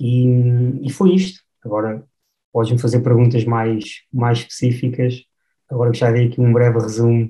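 A man with a medium pitch speaks at a moderate pace, his dark, mellow tone somewhat breathy and his intonation fairly even. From Portugal, Batalha (Leiria district). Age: 30s. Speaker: film director. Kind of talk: podcast interview. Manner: halting, frequent repetitions.

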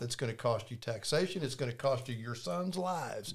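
A man at a medium pitch, somewhat breathy, with lively intonation and a moderate pace. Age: 60s. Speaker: real estate developer and author. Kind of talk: faith-based casual conversation. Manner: animated, repetitive restarts.

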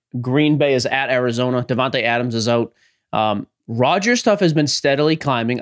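A normal speaking voice moves at a fairly quick pace in a dry, close sound with no echo. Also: man. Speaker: podcast co-host. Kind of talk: casual chat.

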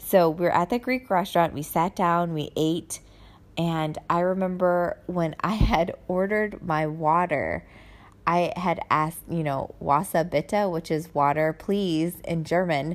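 Here is a woman with an American accent and a plain, everyday voice. Her pitch is fairly low and her intonation fairly even. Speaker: podcast host, military spouse living abroad. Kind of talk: casual monologue. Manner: chatty, with frequent fillers.

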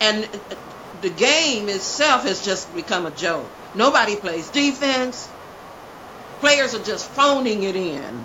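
At a very slow pace, a woman speaks in a fairly high voice with very wide pitch swings and long, frequent pauses. Audible room echo and noticeable background noise are present. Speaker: actress and podcast co-host. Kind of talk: casual chat.

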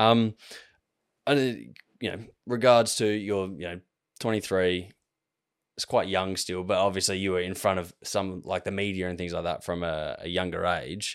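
A man with an Australian accent speaks at a moderate pace in a very deep, low voice, his intonation fairly even and broken by long, frequent pauses, on a very clean recording with a silent background. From Australia, Adelaide. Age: 20s. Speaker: podcast host. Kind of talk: casual chat.

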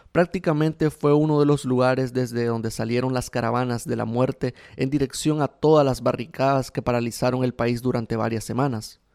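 Dark and mellow in tone, a man's medium-pitched voice moves at a moderate pace with fairly even intonation. The sound is dry and close, with no echo. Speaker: radio host and journalist. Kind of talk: scripted narration. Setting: radio studio.

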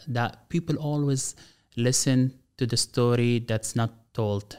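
The recording is very clean, with a silent background. In it, a man with an Arabic accent speaks at medium pitch. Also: dry, close sound with no echo. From Gaza, Palestine. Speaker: government official and speaker. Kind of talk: interview.

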